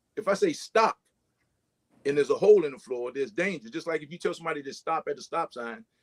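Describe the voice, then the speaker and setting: The man's intonation is lively, his pace very fast, with big swings in loudness. The sound is dry and close, with no echo. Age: 60s. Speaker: firefighter. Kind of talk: panel discussion.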